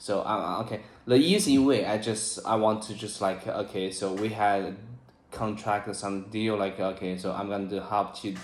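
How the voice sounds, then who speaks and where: A man with a Chinese accent and a fairly low pitch speaks at a moderate pace, with audible room echo. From China. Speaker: English learner. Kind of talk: casual chat. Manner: halting, many fillers.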